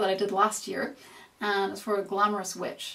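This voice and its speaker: Noticeable background noise sits behind a woman at medium pitch with an American accent. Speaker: makeup tutorial youtuber. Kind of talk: Q&A video monologue.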